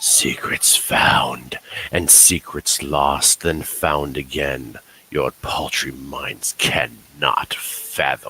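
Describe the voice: A man's raspy, put-on character voice, very deep and low, at a very slow pace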